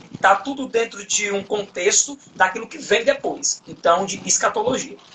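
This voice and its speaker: A man speaks over noticeable background noise. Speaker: Bible study teacher. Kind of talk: online Bible study lesson. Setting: online live stream.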